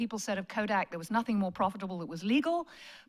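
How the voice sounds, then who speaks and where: This woman has a British accent and a fairly high pitch. Her intonation is lively, and the recording is very clean with a silent background. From Britain. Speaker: management professor. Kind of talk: lecture.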